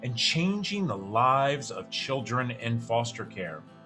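A man speaks at a fairly slow pace with very wide pitch swings while clear music plays in the background. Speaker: podcast host, foster care advocate. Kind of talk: podcast intro. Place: office. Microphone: webcam.

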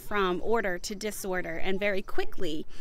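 A woman's lively intonation comes through in a dry sound with no echo. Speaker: home organizing vlogger. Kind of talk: casual vlog chat. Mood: cheerful, chatty.

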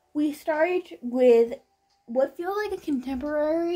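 A woman speaks with a dark, mellow tone. Her pace is fairly slow. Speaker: book reviewer. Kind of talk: casual vlog chat. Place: home room. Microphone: camera far.

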